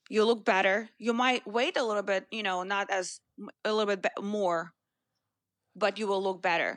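Against a quiet background, a woman with a Russian accent speaks at a moderate pace, with a medium pitch and fairly even intonation. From Russia, Moscow. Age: 30s. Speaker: fitness trainer. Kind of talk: interview.

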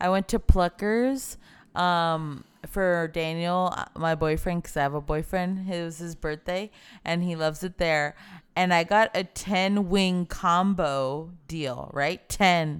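A woman speaks fairly slowly in a fairly low voice, an unremarkable speaking voice. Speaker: podcast host. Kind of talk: casual comedy chat.

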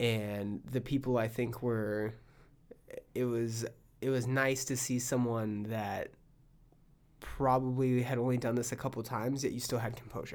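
A man talks in a monotone, flat delivery at a moderate pace. His pitch is medium, and he leaves long, frequent pauses. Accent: American. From California, Palm Springs. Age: 30s. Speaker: podcast host and stand-up comedian. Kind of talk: casual chat. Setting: studio.

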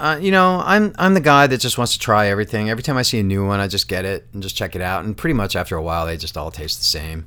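A man talks at a very fast pace. His tone is bright and sharp. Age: 50s. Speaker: podcast host and musician. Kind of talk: casual chat.

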